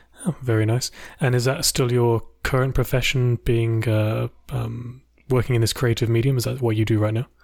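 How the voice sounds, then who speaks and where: A man speaks at medium pitch and a moderate pace, somewhat breathy, with very even loudness and monotone, flat intonation. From UK. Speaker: podcast host interviewing YouTubers. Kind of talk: casual chat interview.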